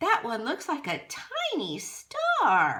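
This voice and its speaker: Doing a put-on character voice, a woman sounds squeaky and loud at an extremely high pitch. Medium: read story. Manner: loud, enthusiastic.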